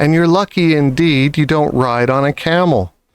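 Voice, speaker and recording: It is a normal speaking voice with ordinary pitch variation. The sound is dry and close, with no echo. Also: man. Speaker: audiobook reader. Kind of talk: children's picture book read-aloud.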